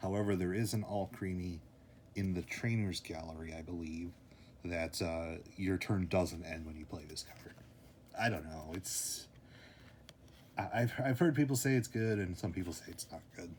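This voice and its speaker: This man has a very deep, low pitch and a somewhat breathy voice with ordinary pitch variation. He speaks at a moderate pace with long, frequent pauses. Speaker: youtuber opening trading card packs. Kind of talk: casual solo commentary while opening packs.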